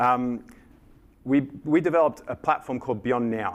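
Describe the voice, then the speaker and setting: A man with an Australian accent talks at a fairly slow pace and a medium pitch. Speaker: conference speaker. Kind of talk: conference presentation.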